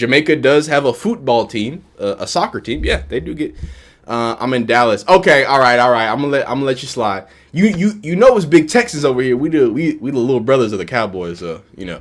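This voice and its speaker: Pitch swinging very widely, a man talks very fast. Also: medium pitch for a man. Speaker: sports YouTuber. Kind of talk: live stream chat. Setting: home live stream with green screen. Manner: stutters a little; casual, repetitive.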